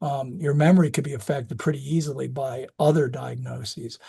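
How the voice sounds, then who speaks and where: A man with a fairly high pitch and a dark, mellow, somewhat breathy tone talks at a moderate pace with ordinary pitch variation against a quiet background. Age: 60s. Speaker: physician specializing in geriatrics. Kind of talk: lecture. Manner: halting.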